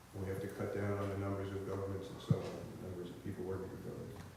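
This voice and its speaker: Noticeable background noise and audible room echo surround the man who is speaking. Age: 70s. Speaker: professor. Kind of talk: lecture. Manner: halting.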